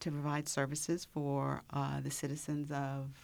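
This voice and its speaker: Speaking at a fairly slow pace, a woman uses a very deep, low pitch. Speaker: speech pathologist. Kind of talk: informative interview.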